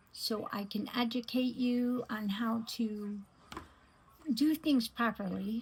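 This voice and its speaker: Somewhat breathy, a woman speaks at a very slow pace in a very clean recording with a silent background. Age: 60s. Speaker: beauty vlogger. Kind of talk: makeup tutorial. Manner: hesitant, many fillers.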